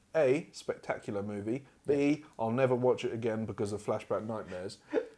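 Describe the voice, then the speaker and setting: This is a man with an English accent. His pitch sits in the medium range. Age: 20s. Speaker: podcast host. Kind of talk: casual chat.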